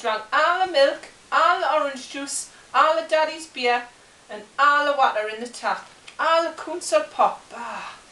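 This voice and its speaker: A woman with a Geordie accent speaks in a raised, projected voice at an extremely high pitch. Her moderate pace carries audible room echo. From Newcastle, England. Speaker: storyteller. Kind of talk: comic children's story reading. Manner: halting, chatty, dialect-heavy. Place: home room. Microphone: camera far.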